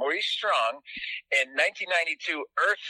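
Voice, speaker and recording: A man is speaking here. The sound is dry and close, with no echo. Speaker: author, filmmaker, climate commentator. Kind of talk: radio interview.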